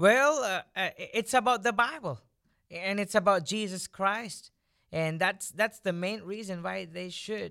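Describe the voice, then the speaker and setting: A man projects a raised voice with a bright, sharp tone, high pitch, and ordinary pitch variation. He goes at a fairly slow pace on a very clean recording with a silent background. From India. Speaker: podcast co-host. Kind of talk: casual chat. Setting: studio.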